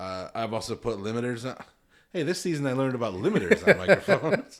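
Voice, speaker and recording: A mumbling man with an American accent, very fast, with big swings in loudness and very wide pitch swings. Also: medium pitch for a man. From northern Illinois. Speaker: podcast host. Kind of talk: casual chat. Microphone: new desk-mounted mics with limiters.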